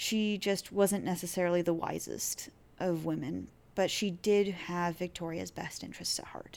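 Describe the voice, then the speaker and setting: Speaking with an American accent, a woman has a fairly low pitch and monotone, flat intonation. Her pace is moderate. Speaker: podcast host. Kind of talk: solo history podcast monologue. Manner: casual, laughing.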